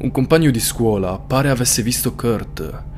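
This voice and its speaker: Over music in the background, a man speaks in a serious tone. His pitch varies in an ordinary way. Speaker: true crime storyteller. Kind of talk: true-crime narration. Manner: suspenseful, serious storytelling. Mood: serious, suspenseful. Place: home room. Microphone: studio mic.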